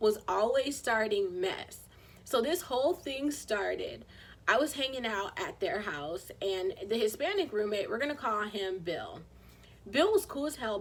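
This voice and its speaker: A woman puts on a raspy character voice at a fairly high pitch. Her pitch swings very widely as she moves at a moderate pace. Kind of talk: casual storytime vlog. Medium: solo performance. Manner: chatty, conversational.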